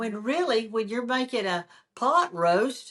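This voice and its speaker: Against a quiet background, a woman with a Southern US accent talks at a fairly slow pace, her fairly high pitch carried by lively intonation. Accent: Southern American. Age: 70s. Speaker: home cook and social media cooking teacher. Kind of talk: interview answer.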